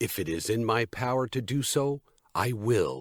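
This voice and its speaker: In a very clean recording with a silent background, a man does a put-on character voice at a medium pitch and moderate pace, the sound dry and close with no echo and the loudness very even. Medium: read story. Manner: direct, calm.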